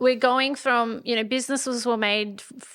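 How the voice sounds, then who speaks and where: On a very clean recording with a silent background, a woman speaks at a moderate pace with a bright, sharp tone and ordinary pitch variation. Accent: Australian country. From rural Australia. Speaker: podcast co-host, entrepreneur. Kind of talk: casual chat. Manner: animated.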